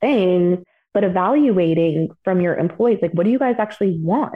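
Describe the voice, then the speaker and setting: A woman, with a plain, everyday voice, talks at a medium pitch and ordinary pitch variation. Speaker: registered dietitian. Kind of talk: interview conversation.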